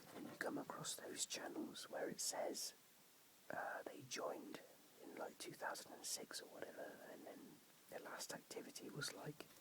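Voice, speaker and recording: A man is whispering. His pace is moderate. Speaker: whisper video creator. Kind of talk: casual talk to camera. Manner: quiet, hushed.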